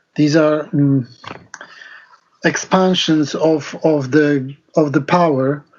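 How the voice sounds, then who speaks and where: The speaker has a non-native accent and talks at a very slow pace with long, frequent pauses. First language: not English. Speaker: discussion participant. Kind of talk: group discussion. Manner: halting.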